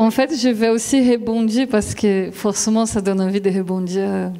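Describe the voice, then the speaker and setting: A fairly high-pitched woman with a Brazilian accent, fairly even intonation, and noticeable background noise. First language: Brazilian Portuguese (speaking French). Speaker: philosophy lecturer-researcher. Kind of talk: panel discussion.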